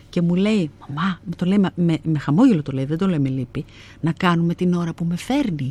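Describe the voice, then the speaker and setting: A woman speaks at a moderate pace with a fairly low pitch. Her pitch variation is ordinary. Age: 50s. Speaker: actress and theatre director. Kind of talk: interview.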